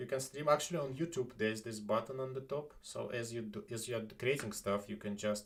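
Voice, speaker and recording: A man with a non-native accent, medium pitch and ordinary pitch variation, talking at a fairly quick pace with hardly any pauses. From Estonia. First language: not English. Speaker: live streamer. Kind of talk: casual chat. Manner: halting.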